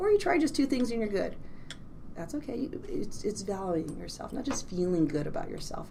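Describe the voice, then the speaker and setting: The speech moves at a fairly quick pace with big swings in loudness, set against noticeable background noise and audible room echo. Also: woman. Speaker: clinical psychologist. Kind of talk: casual interview chat. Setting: office.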